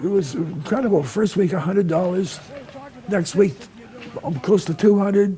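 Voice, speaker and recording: Amid noticeable background noise, a man with a high pitch and ordinary pitch variation talks at a moderate pace, leaving long, frequent pauses. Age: 80s+. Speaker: condiment maker and seller. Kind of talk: interview answer. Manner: passionate.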